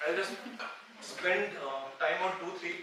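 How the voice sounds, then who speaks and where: A man's raised, projected voice with an Indian accent, plus audible room echo and noticeable background noise. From India, Bihar. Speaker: finance professor. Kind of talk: conference talk. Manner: fast.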